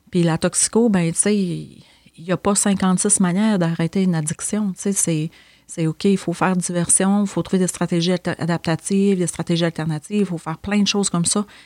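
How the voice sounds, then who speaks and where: Speaking with a Quebec accent, a woman has a fairly low pitch and a dark, mellow tone, with monotone, flat intonation at a moderate pace in a dry, close sound with no echo. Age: 40s. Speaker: social worker. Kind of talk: casual interview chat.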